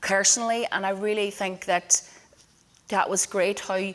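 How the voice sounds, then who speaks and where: A woman with a Northern Irish accent speaks at a medium pitch in a monotone, flat way. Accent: Derry Northern Irish. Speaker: community musician and choir director. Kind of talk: forum talk. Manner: halting.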